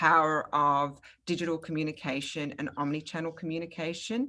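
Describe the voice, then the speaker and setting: With an Australian accent, a woman talks in a fairly low voice with a bright, sharp tone. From Australia, Melbourne. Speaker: product marketing manager, webinar host. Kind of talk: webinar presentation.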